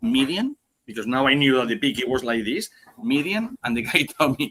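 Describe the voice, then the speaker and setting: Heard with a dry, close sound and no echo, a man with a strong Spanish accent speaks at a moderate pace in a bright, sharp tone, at a fairly high pitch with lively intonation. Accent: heavy Spanish. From Spain. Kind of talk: casual chat. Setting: live podcast stream.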